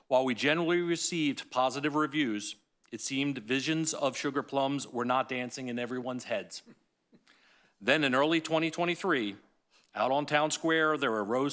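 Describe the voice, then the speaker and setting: Someone with an American accent speaks at a moderate pace with fairly even intonation, on a very clean recording with a silent background. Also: man. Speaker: city staff member presenting to council. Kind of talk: staff report presentation at council meeting. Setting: city council meeting. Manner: playful, rhyming storytelling in parts.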